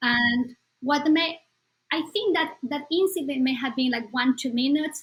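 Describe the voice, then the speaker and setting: A woman speaks with a Spanish accent at a moderate pace. Her pitch varies in an ordinary way. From Bolivia. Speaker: psychologist. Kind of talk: podcast interview.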